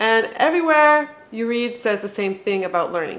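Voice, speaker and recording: In a Montreal accent, a woman talks at a moderate pace with a fairly high pitch. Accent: Canadian English (Montreal). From Montreal, Canada. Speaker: parenting vlogger. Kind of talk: tutorial.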